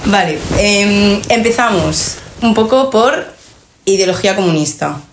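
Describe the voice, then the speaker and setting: A woman speaks with ordinary pitch variation. Audible room echo and noticeable background noise are present. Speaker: podcast host. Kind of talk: casual chat.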